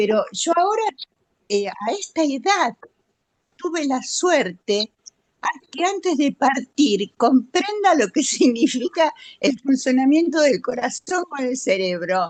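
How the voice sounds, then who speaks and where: Speaking at a very slow pace, a woman with a high pitch makes very wide pitch swings, heard in a dry, close sound with no echo. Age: 70s. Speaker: audience participant. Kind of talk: testimony. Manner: halting.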